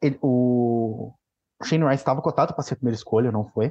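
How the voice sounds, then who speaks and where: With a plain, everyday voice, a man talks at medium pitch and fairly even intonation. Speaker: backup hockey podcaster. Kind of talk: casual chat.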